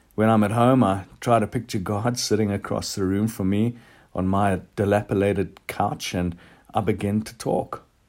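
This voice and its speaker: A man speaks in a plain, everyday voice with fairly even intonation. The recording is very clean, with a silent background. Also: fairly low pitch for a man, moderate pace. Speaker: church devotional speaker. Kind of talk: devotional talk ending in prayer. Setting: recorded podcast. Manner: earnest, reflective; fervent, sincere.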